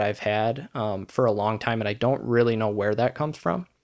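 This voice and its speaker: Heard on a very clean recording with a silent background, a man with an American accent and a plain, everyday voice talks at medium pitch and moderate pace with ordinary pitch variation. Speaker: podcaster. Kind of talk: casual interview chat.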